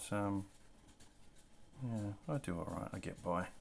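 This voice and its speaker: The speaker is soft-spoken and mumbling at a very slow pace. Pitch variation is ordinary. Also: man. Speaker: comic artist. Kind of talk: tutorial.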